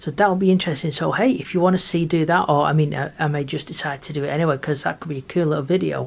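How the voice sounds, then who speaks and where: Quiet and with vocal fry, a woman with a very deep, low pitch speaks at a very fast pace with hardly any pauses and ordinary pitch variation. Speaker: model railway YouTuber. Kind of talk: casual tutorial.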